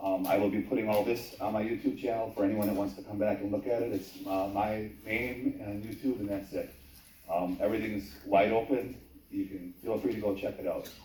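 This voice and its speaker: Speaking at a fairly quick pace with a Wisconsin accent, a man with a fairly low pitch and fairly even intonation is heard amid noticeable background noise and audible room echo. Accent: Upper Midwest (Wisconsin). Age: 50s. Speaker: YouTuber recording local meetings, public commenter. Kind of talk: public hearing testimony. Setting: town hall public hearing.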